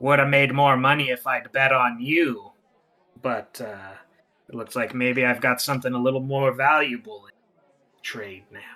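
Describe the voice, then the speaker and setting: A man speaks in a put-on character voice at a moderate pace, with medium pitch and fairly even intonation. His loudness swings widely, and he leaves long, frequent pauses. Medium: actual play. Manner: sly, mercenary.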